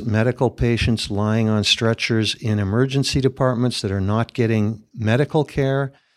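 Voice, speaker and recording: A man with a normal speaking voice talks at medium pitch and a fairly slow pace, with fairly even intonation and hardly any pauses. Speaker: emergency physician and researcher. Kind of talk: expert interview.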